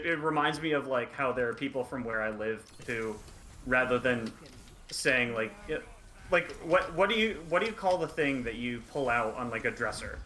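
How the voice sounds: Speaking at a moderate pace with long, frequent pauses, a man uses a bright, sharp tone, lively intonation and medium pitch.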